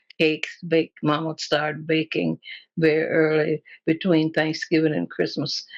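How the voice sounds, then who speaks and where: Flat and monotone, a woman's very deep, low voice comes through with vocal fry in a dry, close sound with no echo. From Tennessee. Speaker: dressmaker. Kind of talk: oral history interview answer.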